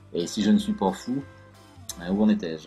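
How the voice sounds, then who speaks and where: With music playing in the background, a man talks at a moderate pace, his fairly low voice carrying lively intonation. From France. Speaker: narrator and stage actor. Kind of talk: literary first-person narration.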